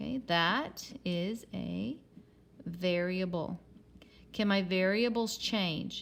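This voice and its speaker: A woman speaks in an unremarkable speaking voice. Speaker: math teacher. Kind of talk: tutorial.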